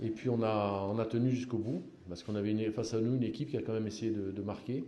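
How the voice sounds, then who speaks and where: A man's somewhat breathy, dark, mellow voice, medium in pitch, fairly even in intonation and fairly quick, with audible room echo. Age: 60s. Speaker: football coach. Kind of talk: press conference. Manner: halting, many repetitions.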